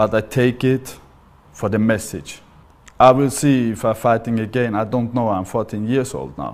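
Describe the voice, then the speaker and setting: A man with an Austrian accent talks at a fairly slow pace, his fairly low pitch moving with ordinary variation. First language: German. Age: 40s. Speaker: MMA fighter. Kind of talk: interview testimony. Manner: halting.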